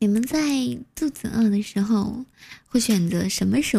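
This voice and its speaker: In a very clean recording with a silent background, a woman speaks in a somewhat breathy, dark, mellow tone with lively intonation. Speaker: live-stream radio host. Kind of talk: late-night live-stream chat and storytelling. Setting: live audio stream with chat and gifts. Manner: chatty, frequent filler particles.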